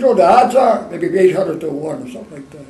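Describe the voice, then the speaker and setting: There is audible room echo and noticeable background noise as a man speaks in a high pitch. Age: 80s+. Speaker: war veteran. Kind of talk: oral history interview. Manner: fast.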